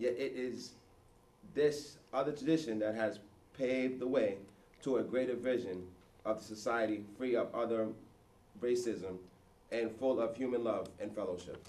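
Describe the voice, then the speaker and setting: A man with a dark, mellow tone talks at a moderate pace, pausing long and often. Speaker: audience member. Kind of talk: reading aloud. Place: classroom. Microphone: camera far.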